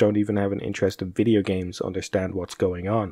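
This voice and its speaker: Music plays in the background as a man talks at a fairly quick pace, the sound dry with no echo. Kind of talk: commentary.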